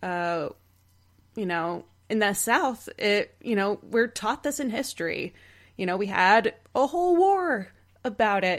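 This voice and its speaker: A woman's fairly high voice with a Texan accent, very wide pitch swings, a fairly slow pace and long, frequent pauses, on a very clean recording with a silent background. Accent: Texan American. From Texas. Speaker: improv performer, podcast guest. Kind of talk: casual chat.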